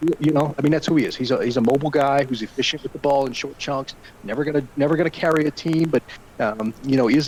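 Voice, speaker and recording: A man speaks at a fairly high pitch with fairly even intonation. Noticeable background noise runs underneath. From Arkansas. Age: 30s. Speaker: NFL insider. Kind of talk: podcast interview. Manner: hesitant, many fillers.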